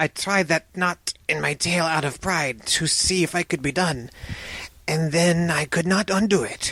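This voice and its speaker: A soft-spoken put-on character voice at a middle pitch and a moderate pace. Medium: read story.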